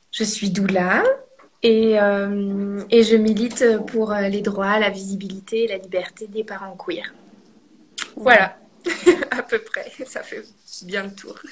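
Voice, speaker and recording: A woman speaks at a very slow pace with long, frequent pauses and a monotone, flat intonation. Her loudness swings widely. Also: medium pitch for a woman. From Normandy, France. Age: 30s. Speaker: doula, guest telling birth story. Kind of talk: testimony. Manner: hesitant with fillers.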